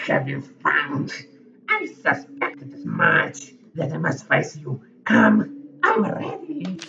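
This is a put-on character voice at middle pitch. It goes at a very slow pace. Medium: actual play. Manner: defiant, proud.

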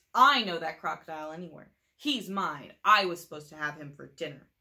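A woman hisses in a put-on character voice at a fairly quick pace. Her pitch is fairly low. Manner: hissing, accusing.

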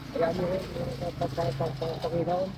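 Noticeable background noise fills the clip. A man speaks over it at a high pitch. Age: old. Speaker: scrap collector. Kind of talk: street interview.

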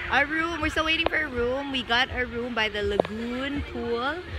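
Loud background noise sits under a dry sound with no echo. The pace is fairly slow. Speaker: parent vlogger. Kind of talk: casual vlog chat. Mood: cheerful, excited. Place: beach. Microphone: phone near.

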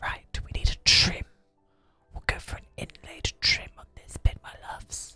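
A man is whispering. Faint music plays in the background. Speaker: gaming content creator / video host. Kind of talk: whispered ASMR game-building commentary. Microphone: studio mic.

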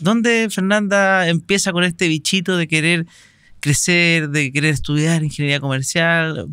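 The voice has a bright, sharp tone and a Chilean accent. The sound is dry with no echo. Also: man, quiet background. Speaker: podcast host. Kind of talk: interview. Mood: relaxed, friendly. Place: studio. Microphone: studio mic.

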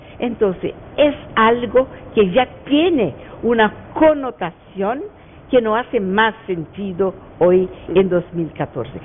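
Very wide pitch swings from a woman speaking at a very slow pace, with light background noise. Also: fairly high pitch for a woman. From Brazil. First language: Portuguese (speaking Spanish). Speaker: lawyer and professor; lawyer, professor. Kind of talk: radio interview. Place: studio. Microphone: lapel.

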